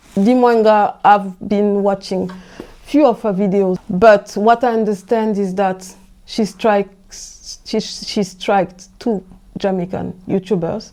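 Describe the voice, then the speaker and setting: Very slow and fairly even in intonation, the voice has a dark, mellow tone and a French accent. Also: woman, medium pitch for a woman. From France, of Central African parentage. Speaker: host's wife, guest. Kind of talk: casual chat. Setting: at home. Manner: halting.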